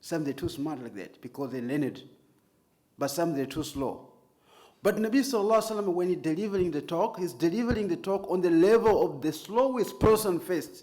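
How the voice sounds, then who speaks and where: Against audible room echo, a man with a non-native accent speaks at a fairly quick pace in a high pitch, with a dark, mellow tone and lively intonation. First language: not English. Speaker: Islamic preacher and trainer. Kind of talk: lecture.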